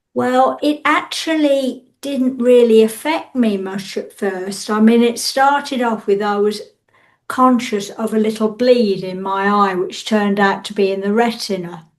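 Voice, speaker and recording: A woman with an English accent, fairly high-pitched, lively in intonation, at a fairly slow pace. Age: 60s. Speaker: interviewee with visual impairment. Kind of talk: interview testimony.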